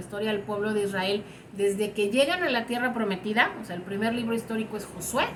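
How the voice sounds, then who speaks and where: Over noticeable background noise and audible room echo, a woman talks at a moderate pace with a medium pitch and fairly even intonation. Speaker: Bible teacher. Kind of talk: online class lecture.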